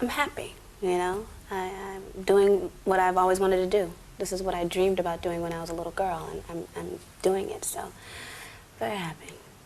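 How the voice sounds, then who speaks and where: Over noticeable background noise, the speaker goes at a fairly quick pace with fairly even intonation, long, frequent pauses and big swings in loudness. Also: woman, medium pitch for a woman. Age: 20s. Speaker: singer. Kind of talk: interview answer. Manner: soft-spoken, calm.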